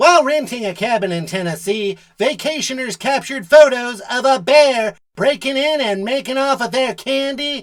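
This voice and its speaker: A cartoonish character voice, high in pitch, with a smug tone and a fairly slow pace. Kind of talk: mock TV news anchor. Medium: puppet show. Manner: smug, pun-loving.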